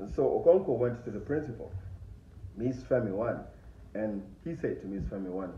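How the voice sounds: A man's fairly low-pitched voice with a dark, mellow tone, lively intonation and a moderate pace, plus audible room echo.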